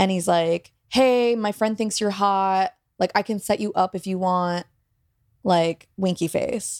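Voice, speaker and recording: In a plain, everyday voice, a woman of medium pitch speaks at a fairly slow pace with fairly even intonation, the sound dry and close with no echo on a very clean recording over a silent background. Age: 20s. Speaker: comedy writing teacher. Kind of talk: casual chat.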